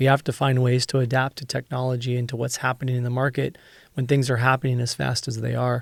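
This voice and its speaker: Very fast and flat, a man with an American accent speaks at medium pitch in a monotone. The recording is very clean with a silent background, and the sound is dry and close with no echo. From northern California. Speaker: podcast host. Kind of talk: interview conversation.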